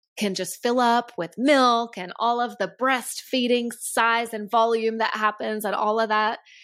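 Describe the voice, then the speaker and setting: Pitched fairly high, a woman talks in an unremarkable speaking voice. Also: very clean recording, silent background. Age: 30s. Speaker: podcast host and health coach. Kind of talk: solo monologue podcast. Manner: casual, conversational.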